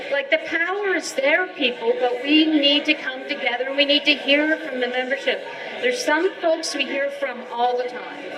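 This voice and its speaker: A woman's raised, projected, high voice at a moderate pace with ordinary pitch variation, over noticeable background noise. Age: 60s. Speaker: archaeology association leader. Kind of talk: live podcast interview. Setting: pub with live audience.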